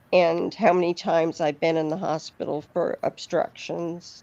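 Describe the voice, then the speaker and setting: A woman speaks at a moderate pace in a fairly low pitch. Her tone is dark and mellow, and her intonation is monotone and flat. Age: 60s. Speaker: YouTube live streamer. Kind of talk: casual chat. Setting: live stream.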